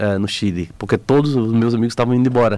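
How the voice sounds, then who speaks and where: This man's voice has a dark, mellow tone. It sits at a medium pitch. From Bahia, Brazil. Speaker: photographer and explorer. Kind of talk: radio interview.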